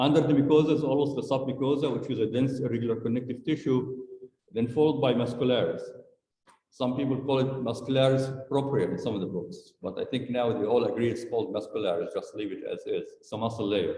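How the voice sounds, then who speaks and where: Somewhat breathy and dark, mellow in tone, a man speaks very fast at a medium pitch with ordinary pitch variation, with audible room echo. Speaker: medical school lecturer. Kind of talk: lecture.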